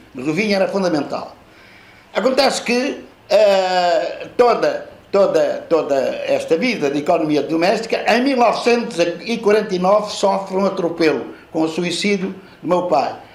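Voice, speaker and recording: With audible room echo and noticeable background noise, a man speaks at a high pitch. His pace is moderate and his pitch variation ordinary. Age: 70s. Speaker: author and professor. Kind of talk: book launch talk. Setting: live audience at a book launch. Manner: halting, many repetitions and fillers.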